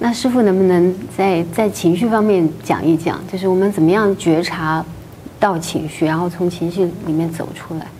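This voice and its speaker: Noticeable background noise behind a woman's fairly low voice, at a moderate pace with fairly even intonation. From mainland China. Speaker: interviewer. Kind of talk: interview.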